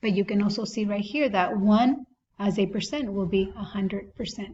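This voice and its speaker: A woman with a non-native accent speaks at a moderate pace in a somewhat breathy voice with fairly even intonation. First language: not English. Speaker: math teacher. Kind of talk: tutorial. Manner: casual, thinking aloud with self-corrections.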